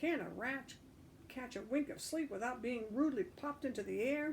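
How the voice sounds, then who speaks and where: Growling in a put-on character voice, the speaker keeps a moderate pace over clear background noise. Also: woman, high pitch for a woman. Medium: read story. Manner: growling, sarcastic.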